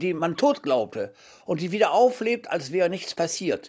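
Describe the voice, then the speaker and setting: Lively intonation marks this man's high-pitched voice. He speaks at a fairly slow pace. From Hamburg area, Germany. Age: 90s. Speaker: writer and translator. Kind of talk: interview.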